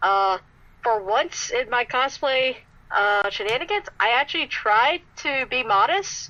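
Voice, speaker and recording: With an American accent, a woman speaks at a fairly slow pace in a high, bright, sharp voice, her pitch swinging very widely while her loudness stays very even. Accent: Southern US accent, toned down. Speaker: cosplayer. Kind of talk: podcast interview.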